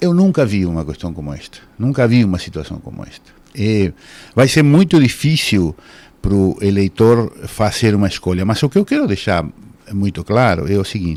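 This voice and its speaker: At a moderate pace, a man speaks with a fairly low pitch. His pitch swings very widely and his loudness shifts a lot. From Uruguay. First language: Spanish (speaking Portuguese). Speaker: law professor. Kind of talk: radio interview. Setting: radio studio, simulcast on TV.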